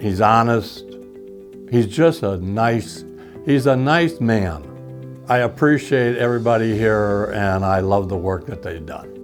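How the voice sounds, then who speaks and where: A man's fairly low voice, lively in intonation and fairly slow, with music in the background. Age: old. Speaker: dental implant patient. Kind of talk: interview answer.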